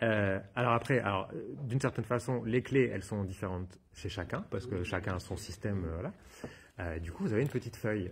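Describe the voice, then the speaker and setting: Somewhat breathy, a man talks at a fairly quick pace and a fairly low pitch with ordinary pitch variation. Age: 40s. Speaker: therapist and trainer giving a talk. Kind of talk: conference talk with audience questions. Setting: stage with audience at a wellness fair. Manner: fast; halting, many repetitions and fillers.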